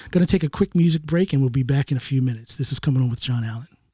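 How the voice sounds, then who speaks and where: A man's dark, mellow, somewhat breathy tone with an American accent and lively intonation, at a very fast pace, in a dry, close sound with no echo. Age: 50s. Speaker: podcast and radio host, former Marine. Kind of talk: casual interview chat.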